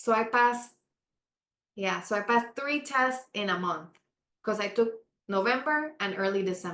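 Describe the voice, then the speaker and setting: With a Spanish accent, a woman speaks at a moderate pace in a fairly high, bright, sharp voice with ordinary pitch variation and long, frequent pauses. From Panama. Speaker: architect. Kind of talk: interview.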